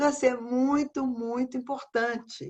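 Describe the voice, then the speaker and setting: The background stays quiet as a woman talks in a high voice. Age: 70s. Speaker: educator. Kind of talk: lecture.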